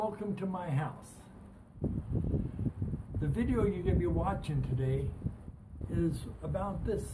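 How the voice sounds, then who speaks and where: Noticeable background noise behind a man's fairly unhurried delivery. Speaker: travel vlogger. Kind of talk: casual vlog chat. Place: home room.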